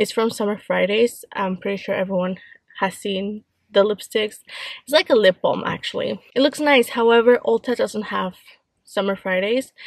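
A woman speaks with ordinary pitch variation, and the sound is dry with no echo. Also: moderate pace, quiet background. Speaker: vlogger. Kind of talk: casual vlog chat. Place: car. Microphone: phone near.

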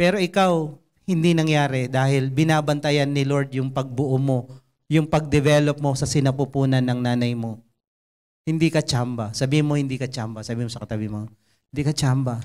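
Over a quiet background, a man with a fairly high pitch talks in an animated tone at a fairly quick pace with ordinary pitch variation. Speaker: preacher. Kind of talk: sermon. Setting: church. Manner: animated, conversational and humorous, with jokes and mimicked voices; earnest and exhortative, in Taglish. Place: stage. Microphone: handheld.

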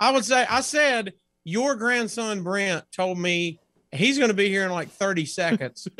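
A man with an American accent projects a raised voice at a high pitch, his tone bright and sharp. His intonation is lively, the pace fairly slow, and the sound dry with no echo. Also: quiet background. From US South. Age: 40s. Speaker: comedian. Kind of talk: casual chat. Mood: playful, comedic. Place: home room.

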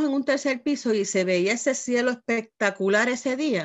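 Against a quiet background, a woman speaks at a high pitch with lively intonation. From Puerto Rico. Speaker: pastor; guest pastor preaching. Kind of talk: sermon. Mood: earnest, emotional testimony. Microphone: video call.

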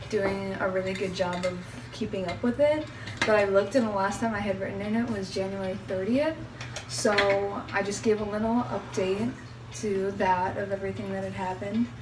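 A woman talks at a moderate pace with lively intonation. Noticeable background noise can be heard. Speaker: vlogger. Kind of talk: casual vlog chat. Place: kitchen. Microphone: phone near.

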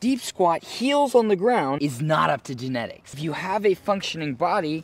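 A man at a moderate pace, dry sound with no echo. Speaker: flexibility coach. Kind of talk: tutorial. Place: open country.

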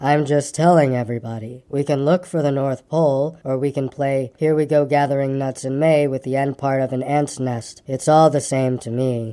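A man puts on a drawling character voice at medium pitch and moderate pace, with hardly any pauses. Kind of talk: bedtime story. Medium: read story. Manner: glum, complaining drawl.

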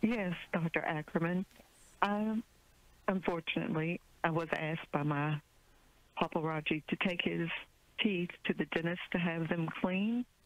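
A woman with a fairly low pitch and ordinary pitch variation talks at a moderate pace, with long, frequent pauses, very even loudness and a dry sound with no echo. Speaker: phone-in caller. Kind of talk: caller question to expert. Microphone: phone line.

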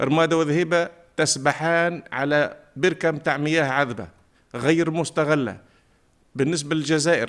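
At a fairly slow pace, a man with a fairly high pitch talks in fairly even intonation over a quiet background. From southern Tunisia, Remada; southern Tunisia. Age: 50s. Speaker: parliamentary candidate, teacher; candidate, teacher. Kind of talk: campaign speech. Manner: formal. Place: studio. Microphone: podium.

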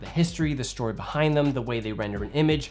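Faint music plays in the background as a man speaks. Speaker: filmmaker reviewer. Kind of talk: tutorial commentary. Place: studio.

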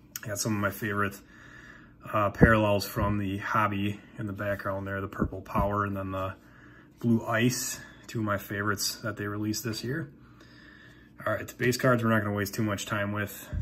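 A man speaks in a monotone, flat delivery at a fairly quick pace over light background noise. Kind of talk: casual pack opening commentary. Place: home room. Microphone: phone near.

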